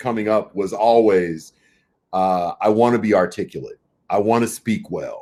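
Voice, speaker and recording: This man speaks with an American accent at a fairly slow pace. His pitch sits in the medium range. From US, central Los Angeles. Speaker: management consultant. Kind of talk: interview conversation. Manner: loud; articulate, with many repetitions.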